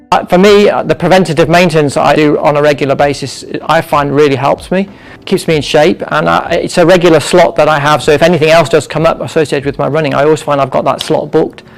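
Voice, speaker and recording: Over noticeable background noise, a man with a fairly high voice talks at a very fast pace with hardly any pauses, fairly even intonation and very even loudness. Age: 60s. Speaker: physio clinic client, amateur marathon runner. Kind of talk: interview testimony.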